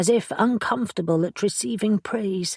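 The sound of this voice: Ordinary pitch variation runs through an unforced reading voice.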